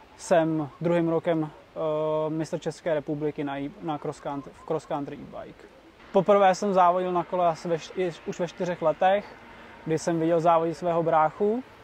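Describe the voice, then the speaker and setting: Pitched high, a man's voice keeps a fairly even intonation. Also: moderate pace, big swings in loudness. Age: 20s. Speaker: e-bike racer. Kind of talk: interview. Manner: halting.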